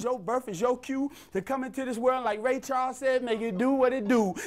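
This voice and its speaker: A man speaks at an extremely high pitch. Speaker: spoken word poet. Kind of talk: spoken word poetry performance.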